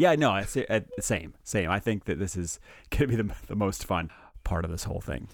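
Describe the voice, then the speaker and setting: A man talks in an unremarkable speaking voice with a fairly low pitch. His pace is fairly quick and his intonation lively. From Canada. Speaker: anaesthesia doctor and podcast host. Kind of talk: casual chat. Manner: joking, laughs often.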